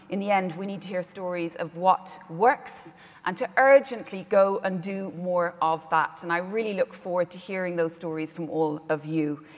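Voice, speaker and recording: With an Irish accent, a woman of medium pitch speaks at a moderate pace, with ordinary pitch variation and hardly any pauses. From Ireland. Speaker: conference host, broadcaster. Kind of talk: conference moderation. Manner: hesitant fillers (um, uh).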